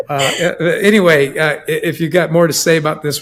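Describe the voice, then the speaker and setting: Noticeable background noise sits under the speech. The pace is fairly quick and the intonation fairly even. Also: man. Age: 60s. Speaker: podcast host. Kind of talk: casual chat.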